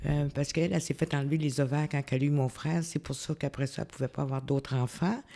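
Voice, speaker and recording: Very deep and low, a woman's dark, mellow voice races along at a very fast pace. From Quebec (Quebec City, then Montreal from age 8). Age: 60s. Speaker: retired community housing worker. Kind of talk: interview. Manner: halting, many hesitations.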